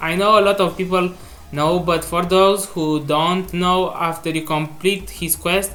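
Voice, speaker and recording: The speech moves at a very slow pace. Noticeable background noise runs underneath. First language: not English. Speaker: gaming video creator. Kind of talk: video game commentary. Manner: halting.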